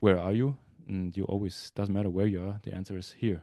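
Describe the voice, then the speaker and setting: In a German accent, a man talks with a very deep, low pitch and a dark, mellow tone, his intonation fairly even, the sound dry and close with no echo over a quiet background. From southwest Germany (Freiburg area). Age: 30s. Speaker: ice hockey goalie. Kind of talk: interview.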